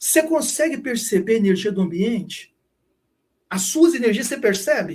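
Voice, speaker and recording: The man's voice sits at a high pitch and moves at a moderate pace. His intonation is lively. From Brazil, Minas Gerais (Triângulo Mineiro). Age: 50s. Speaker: spiritual teacher. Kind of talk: casual chat. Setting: live stream.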